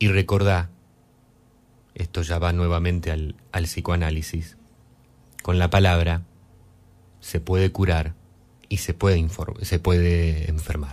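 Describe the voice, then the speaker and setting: At a fairly slow pace with long, frequent pauses, a man speaks in a very deep, low pitch with monotone, flat intonation. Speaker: radio host. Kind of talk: live radio music show. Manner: hesitant with fillers.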